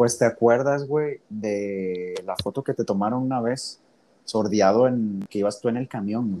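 A man talks fairly slowly in a dark, mellow tone, keeping a medium pitch with ordinary pitch variation. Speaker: podcast host. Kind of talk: casual chat.

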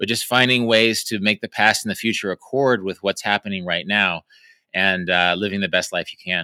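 Recorded very cleanly with a silent background and a dry, close sound with no echo, a man talks at a fairly quick pace in a bright, sharp tone. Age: 50s. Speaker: travel writer. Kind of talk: interview. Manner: halting.

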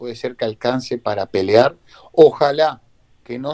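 With a Rioplatense accent, a man of medium pitch talks at a fairly slow pace in a dark, mellow tone with a dry, close sound and no echo. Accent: Argentine Rioplatense Spanish. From Argentina, Buenos Aires area (Avellaneda). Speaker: retired footballer. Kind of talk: interview.

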